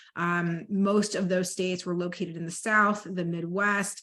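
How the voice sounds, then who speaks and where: Quiet background here. A woman speaks with monotone, flat intonation. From Dallas, Texas. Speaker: policy advocate, trainer. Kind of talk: training presentation. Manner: fast.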